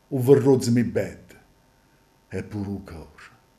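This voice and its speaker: Somewhat breathy and fairly low-pitched, a man speaks at a very slow pace. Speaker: stage actor. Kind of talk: dialect poetry reading.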